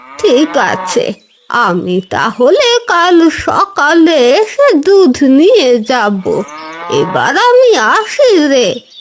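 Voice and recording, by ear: In a cartoonish character voice, a woman speaks at a very slow pace in an extremely high pitch, swinging very widely in pitch while keeping her loudness very even.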